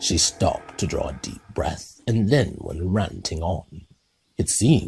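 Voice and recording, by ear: With a quiet background, the speaker is reading aloud in a natural voice, the pitch varying in an ordinary way.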